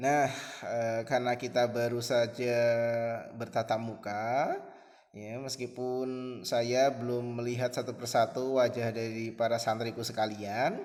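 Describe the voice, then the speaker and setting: The man's pitch sits in the medium range. He speaks at a fairly slow pace with monotone, flat intonation. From Central Java, Pekalongan. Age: 20s. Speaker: Indonesian language teacher. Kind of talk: online class introduction to students. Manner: hesitant, with frequent fillers.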